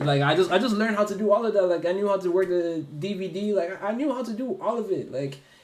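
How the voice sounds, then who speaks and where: Talking at a very fast pace, a man with a high voice and an American accent is heard with audible room echo and noticeable background noise. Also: ordinary pitch variation, hardly any pauses. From Ireland. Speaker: streamer guest. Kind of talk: casual chat.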